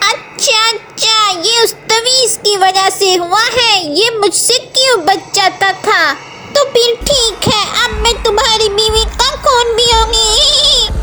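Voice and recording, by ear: Over loud background noise, a put-on character voice that sounds female speaks at an extremely high pitch and a fairly slow pace.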